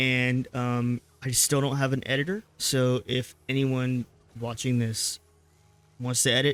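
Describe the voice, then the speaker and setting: A man of medium pitch speaks at a fairly slow pace. His intonation is flat and monotone. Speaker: gaming streamer. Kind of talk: gameplay commentary outro. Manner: casual, hesitant with fillers.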